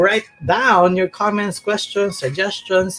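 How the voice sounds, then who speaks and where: The speaker has a Filipino accent. The pace is fairly slow. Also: man. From Philippines. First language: Tagalog. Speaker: TV talk show host. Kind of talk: interview. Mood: friendly, curious. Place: home room. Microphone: webcam.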